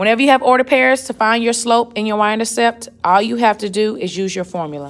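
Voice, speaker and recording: A woman speaks with lively intonation. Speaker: math teacher. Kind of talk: tutorial.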